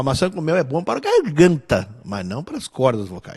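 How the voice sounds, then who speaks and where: Moderate pacing from a man, with a quiet background. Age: 60s. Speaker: musician and singer. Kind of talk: interview conversation.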